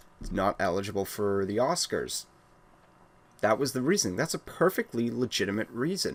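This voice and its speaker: The speaker is a man with a medium pitch. He talks at a fairly quick pace, with very wide pitch swings. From Wales. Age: 20s. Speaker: gaming YouTuber. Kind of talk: casual rant. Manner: halting, many fillers.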